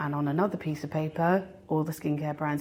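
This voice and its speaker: A woman speaks with a British accent in a dark, mellow tone. Her pace is fairly quick. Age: 40s. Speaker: fragrance content creator. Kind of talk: interview. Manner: casual, chatty.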